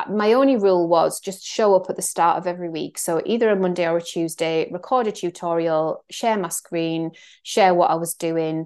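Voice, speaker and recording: Over a quiet background, a woman with a North East England accent talks at a moderate pace, her fairly low pitch showing ordinary variation. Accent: Northeast English (Geordie-area). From northeast England. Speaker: Substack creator and mentor. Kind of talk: solo podcast monologue update. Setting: screen share recording, also put on YouTube. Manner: casual, conversational, reflective.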